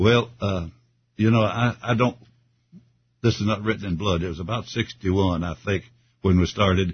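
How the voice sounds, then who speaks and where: A man with a Southern US accent speaks at a moderate pace and fairly low pitch, somewhat breathy. His intonation is fairly even, with long, frequent pauses. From Kentucky. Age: 80s+. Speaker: retired gospel singer. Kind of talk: casual interview. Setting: studio.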